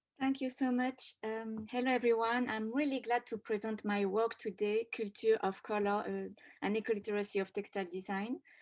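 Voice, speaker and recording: A woman with a French accent speaks at a fairly quick pace in a fairly high voice. Her intonation is fairly even, and the recording is very clean with a silent background. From France. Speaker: textile designer and doctoral researcher. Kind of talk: conference presentation.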